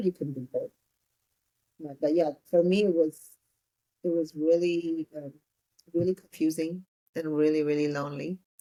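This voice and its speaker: In an Ethiopian accent, the speaker talks at a fairly quick pace with fairly even intonation and a dark, mellow tone, in a dry, close sound with no echo. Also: woman. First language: Amharic. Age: 30s. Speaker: entrepreneur. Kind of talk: interview.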